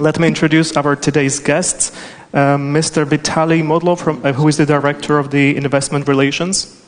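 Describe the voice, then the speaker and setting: A man speaks at a fairly quick pace in a fairly high pitch. His intonation is monotone and flat, and his loudness stays very even. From Czechoslovakia. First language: Czech or Slovak. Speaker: immigration attorney and panel moderator. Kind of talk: panel moderation.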